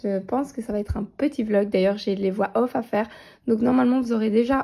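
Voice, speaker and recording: Her voice is somewhat breathy. The woman talks at a fairly quick pace. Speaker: coloring hobby vlogger. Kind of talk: casual vlog. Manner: hesitant, many fillers.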